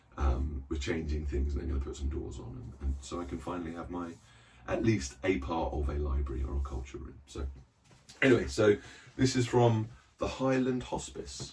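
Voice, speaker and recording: A man with a British accent speaks at a very deep, low pitch, with vocal fry and lively intonation at a moderate pace. His loudness swings widely, and audible room echo surrounds the voice. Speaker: book collector vlogger. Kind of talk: casual vlog chat. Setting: small cupboard reading room. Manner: hesitant, many fillers.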